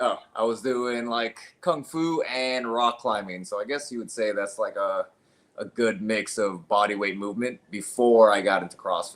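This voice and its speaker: Here a man speaks at a moderate pace. His pitch is medium, with ordinary variation. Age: 40s. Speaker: CrossFit coach and gym co-founder. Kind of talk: casual interview chat. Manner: hesitant with fillers.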